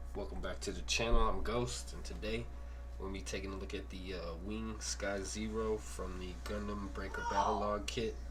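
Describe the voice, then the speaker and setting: With music in the background, a man speaks at a moderate pace in a raspy, put-on character voice. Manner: casual, friendly video host.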